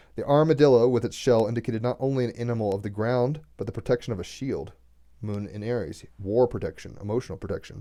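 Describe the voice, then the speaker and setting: Very fast and at a medium pitch, a man talks with ordinary pitch variation and a dark, mellow tone. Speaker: tarot and astrology reader. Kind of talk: reading aloud with commentary. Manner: halting.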